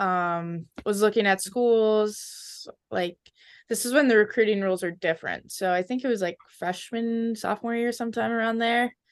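Against a quiet background, a woman with an ordinary speaking voice talks at a moderate pace, her fairly high pitch showing ordinary pitch variation. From Minnesota (Edina), US Midwest. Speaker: college ice hockey player. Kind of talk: interview. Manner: casual, many fillers like 'um' and 'like'.

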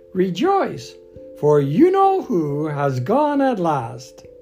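A squeaky, put-on character voice sits at a middle pitch and moves at a very slow pace. Clear music plays in the background. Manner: joyful, effusive.

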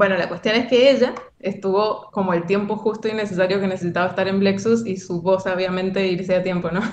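A woman with a Cuyo Argentine accent talks at a fairly quick pace in monotone, flat intonation. Audible room echo surrounds her voice. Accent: Argentine Spanish (Cuyo, Mendoza). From Argentina, Mendoza. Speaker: animator. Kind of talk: casual interview.

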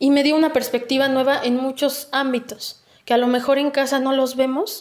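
A woman with a central Mexican accent speaks in a high voice. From Mexico, Texcoco (State of Mexico). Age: 20s. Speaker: political candidate. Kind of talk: interview.

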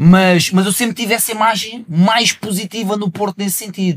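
At a moderate pace, a man talks in a high voice. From Portugal, not the north. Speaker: rapper. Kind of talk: casual chat.

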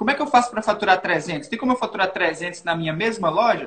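A man at a high pitch and a fairly quick pace, against noticeable background noise. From Minas Gerais, Brazil (Governador Valadares). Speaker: digital marketing entrepreneur. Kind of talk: casual interview.

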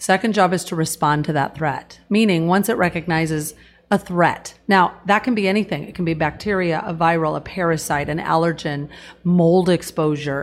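A woman with a West Coast accent, fairly low in pitch, with ordinary pitch variation and a moderate pace. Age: 50s. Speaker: wellness product promoter. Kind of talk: casual interview. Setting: studio.

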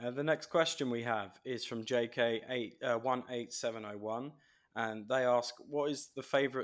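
A man's medium-pitched voice with an English accent at a moderate pace. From England. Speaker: podcast host. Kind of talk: interview.

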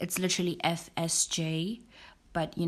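Her voice is fairly low and somewhat breathy. The woman speaks at a very slow pace with monotone, flat intonation. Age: 20s. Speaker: podcast host. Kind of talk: casual monologue.

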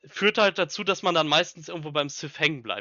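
A man speaks with high pitch and lively intonation. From Ruhr area, Germany (Bochum). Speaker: Star Wars fan club leader. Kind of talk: casual interview.

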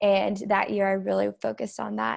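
A woman with an American accent uses a normal speaking voice, medium in pitch, at a moderate pace with fairly even intonation. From Oklahoma, Tulsa. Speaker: florist and student entrepreneur. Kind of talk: casual interview.

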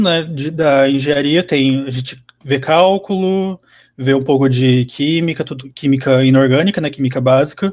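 A man's fairly high-pitched, plain, everyday voice with ordinary pitch variation. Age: 20s. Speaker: university engineering student. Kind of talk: interview, casual.

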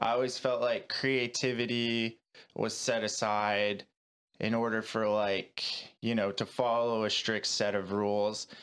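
In a very clean recording with a silent background, a man with an ordinary speaking voice talks at a fairly slow pace with a medium pitch, fairly even intonation and very even loudness. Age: 30s. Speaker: breathwork coach and former kayaker. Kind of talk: casual interview conversation. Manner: casual, filler-heavy speech.

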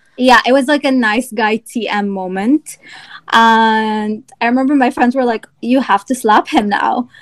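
Fairly high in pitch, a woman talks at a fairly slow pace with fairly even intonation in an unremarkable speaking voice. The sound is dry and close, with no echo. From Egypt, partly raised in Virginia, US. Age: 20s. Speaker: small business owner, candle brand founder. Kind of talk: casual chat.

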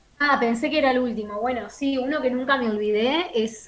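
The speech moves at a moderate pace with ordinary pitch variation. Noticeable background noise is present. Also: woman. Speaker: actress and broadcast announcer. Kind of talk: casual interview.

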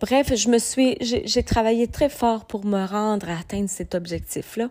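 On a very clean recording with a silent background, a woman with a Quebec accent speaks in a dark, mellow tone. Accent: Québécois French. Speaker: podcast host, personal development coach. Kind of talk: motivational monologue. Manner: hesitant, many fillers.

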